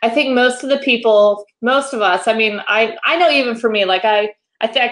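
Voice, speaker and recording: The background is quiet as a woman speaks at a moderate pace. Her pitch is fairly high, with ordinary variation. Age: 40s. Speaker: photography educator and podcast host; photography educator, podcast host. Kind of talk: casual interview. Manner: animated. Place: home room. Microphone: video call.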